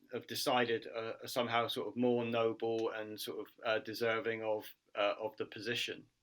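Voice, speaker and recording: With a British accent, a man speaks in a monotone, flat intonation. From UK. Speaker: martial artist and social worker. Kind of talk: interview answer.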